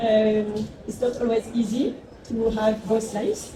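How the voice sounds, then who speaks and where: Audible room echo and noticeable background noise surround the recording. A woman talks at a fairly slow pace with a fairly high pitch. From France. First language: French. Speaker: agave spirits brand founder. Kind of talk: panel talk.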